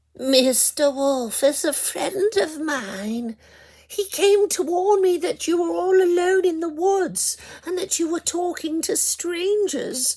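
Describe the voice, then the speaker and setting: Extremely high pitch in a put-on character voice. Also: fairly slow pace. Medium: read story.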